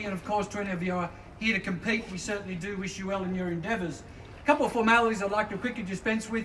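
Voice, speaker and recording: A man's very fast, high-pitched speech with fairly even intonation over noticeable background noise. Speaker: real estate auctioneer. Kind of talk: property auction patter.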